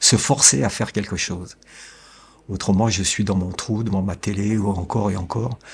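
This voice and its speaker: Somewhat breathy, a man with a fairly low pitch talks at a fairly slow pace with ordinary pitch variation. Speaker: family caregiver. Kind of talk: interview. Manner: calm, measured; hesitant.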